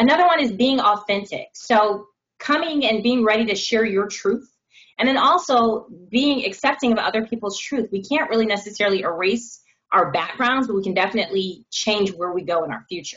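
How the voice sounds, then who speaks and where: A woman speaks in a normal speaking voice at a fairly quick pace, her fairly high pitch carried by lively intonation. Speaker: diversity and inclusion director. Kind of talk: panel discussion. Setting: video call.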